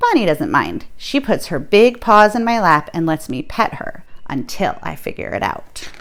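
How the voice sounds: Over faint background noise, a woman with a fairly low pitch and a fairly bright tone talks at a moderate pace with big pitch swings.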